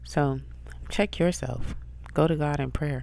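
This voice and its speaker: Talking at a fairly slow pace, a woman's voice carries audible room echo. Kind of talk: spiritual encouragement monologue. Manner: casual conversational. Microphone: close to microphone, whispering.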